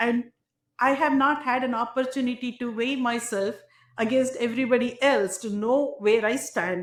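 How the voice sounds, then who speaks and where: A woman with an Indian accent speaks at a moderate pace, her pitch high and her intonation fairly even. The recording is very clean, with a silent background. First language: not English, Indian language. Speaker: tech entrepreneur. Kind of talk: interview.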